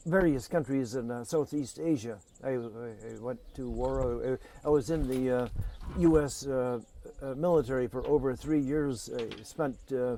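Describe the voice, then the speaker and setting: With an American accent, a man speaks at medium pitch and a moderate pace, his tone dark and mellow and his pitch variation ordinary. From United States. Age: 60s. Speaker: peace activist and war veteran. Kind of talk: interview testimony. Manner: halting, many fillers.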